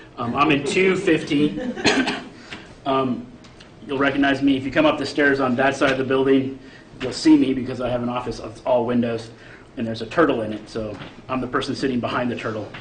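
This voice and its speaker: A medium-pitched man's voice with fairly even intonation, fairly quick pace, and long, frequent pauses, amid audible room echo and noticeable background noise. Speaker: chemistry professor. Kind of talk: lecture. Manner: fast.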